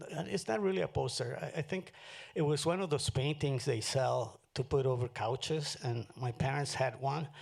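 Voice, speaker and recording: Vocal fry and lively intonation, with a Spanish accent. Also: man, medium pitch for a man, moderate pace. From Mexico, moved to Los Angeles at fifteen. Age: 70s. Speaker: artist. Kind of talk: onstage conversation. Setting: stage with audience.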